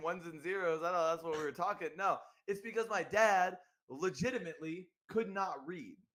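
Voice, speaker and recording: A man with an American accent speaks in a raised, projected voice at a high pitch and a moderate pace. His tone is bright, sharp and animated. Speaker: podcast host. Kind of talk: casual chat.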